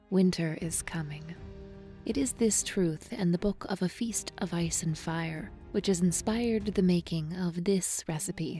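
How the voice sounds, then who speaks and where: Over music in the background, a woman with a fairly low pitch speaks at a moderate pace with ordinary pitch variation. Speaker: professional voice actress. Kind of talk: recipe narration voiceover, read from a historical text.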